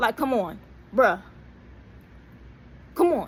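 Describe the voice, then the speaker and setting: A woman speaks in an animated tone with lively intonation. Vocal fry runs through her voice. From New York. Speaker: vlogger. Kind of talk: casual vlog monologue. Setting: in a parked car.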